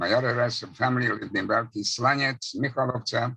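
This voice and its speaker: The voice is bright and sharp in tone and moves at a moderate pace. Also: man. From Czechoslovakia, Hungarian-speaking area. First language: Hungarian. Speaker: Holocaust survivor. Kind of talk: testimony.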